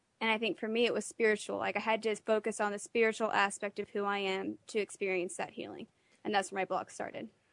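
A woman of medium pitch talks very fast in an American accent, with ordinary pitch variation. The background is quiet and the sound is dry and close, with no echo. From Texas. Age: 20s. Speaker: patient sharing illness story. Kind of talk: interview testimony. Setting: radio studio.

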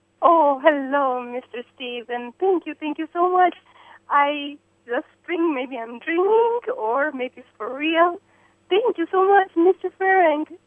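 A woman with an Eastern European accent speaks very slowly at a high pitch with lively intonation and big swings in loudness. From Romania/Hungary, Eastern Europe. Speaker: caller. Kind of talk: radio call-in. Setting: phone call. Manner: emotional, effusive.

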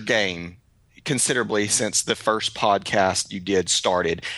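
This man has a strong East Texas accent and a fairly low pitch. His tone is bright and sharp, and he speaks at a fairly slow pace. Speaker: podcast host, photographer. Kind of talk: casual chat, podcast conversation.

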